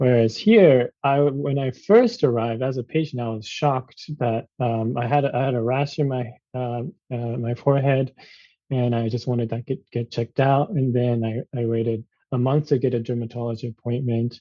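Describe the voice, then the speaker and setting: Speaking at a moderate pace, a man keeps a medium pitch and a fairly even intonation. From Japan, suburb of Tokyo. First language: Japanese. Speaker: physician. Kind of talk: interview. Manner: halting, many fillers.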